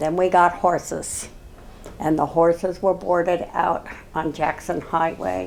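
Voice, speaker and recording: In an American accent, the speaker talks at a fairly slow pace with vocal fry and monotone, flat intonation. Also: woman, fairly low pitch for a woman. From California. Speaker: local resident interviewee. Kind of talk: oral history interview. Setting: at home.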